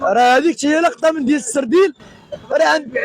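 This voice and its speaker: Over noticeable background noise, a man speaks in an animated tone with ordinary pitch variation. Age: 40s. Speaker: fish wholesaler. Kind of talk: street interview. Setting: wholesale fish market.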